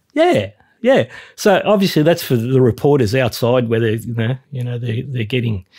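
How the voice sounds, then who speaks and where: At a moderate pace and medium pitch, a somewhat breathy man speaks with lively intonation in a very clean recording with a silent background and a dry, close sound with no echo. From Australia. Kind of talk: casual interview chat.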